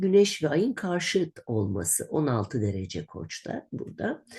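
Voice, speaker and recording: Hardly pausing at all, a woman speaks at a very slow pace. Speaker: astrologer. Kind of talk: monthly horoscope reading. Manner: conversational, with hesitations.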